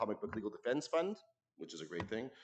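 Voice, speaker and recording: A man speaks in a loud voice. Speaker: award presenter speaking for a late friend. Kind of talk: tribute speech at awards ceremony. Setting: stage with audience. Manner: informal, halting.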